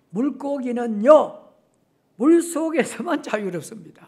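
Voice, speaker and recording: A man talks in an animated tone. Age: 70s. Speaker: retired pastor. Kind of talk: sermon. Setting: church. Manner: halting, with many fillers; animated, with sound effects.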